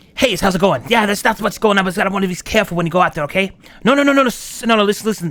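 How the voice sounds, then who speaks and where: A man puts on a character voice, high-pitched and hissing. He talks at a very fast pace. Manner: hissing, fast-talking.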